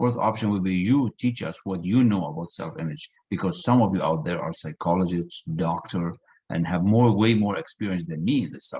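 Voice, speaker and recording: At a fairly quick pace, the speaker uses ordinary pitch variation and a dark, mellow tone with a non-native accent. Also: man, very deep, low pitch for a man. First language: not English. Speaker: personal development coach. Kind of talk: online group session. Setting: video call.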